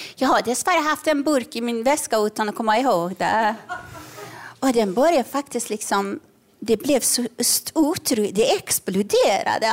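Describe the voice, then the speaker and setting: A woman's high, lively voice at a moderate pace, with noticeable background noise. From Iran. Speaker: comedian and author. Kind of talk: live comedy podcast chat. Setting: stage with audience.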